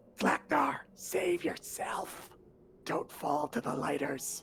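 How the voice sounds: A put-on character voice, raspy and hissing, creeps along at a very slow pace in a low-to-middle pitch.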